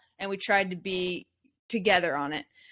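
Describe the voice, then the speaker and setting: A woman with an unremarkable speaking voice talks at a moderate pace with ordinary pitch variation, on a very clean recording with a silent background. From US West Coast (Eugene, Oregon). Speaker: basketball coach and podcast producer. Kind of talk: interview conversation.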